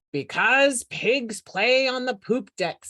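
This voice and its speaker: A woman puts on a growling character voice at a high pitch. She speaks at a very slow pace. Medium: read story. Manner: growling, pirate-talking.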